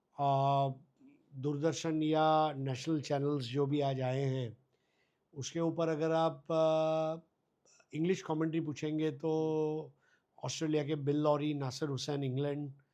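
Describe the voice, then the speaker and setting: Against a quiet background, a man with a Gujarati accent speaks in a dark, mellow tone with monotone, flat intonation. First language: Gujarati (speaking Hindi). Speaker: cricket commentator. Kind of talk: interview. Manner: halting with frequent fillers.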